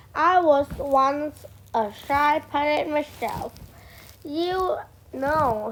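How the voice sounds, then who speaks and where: A woman's put-on character voice, high-pitched and very slow, with long, frequent pauses. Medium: read story. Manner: piratey, hearty.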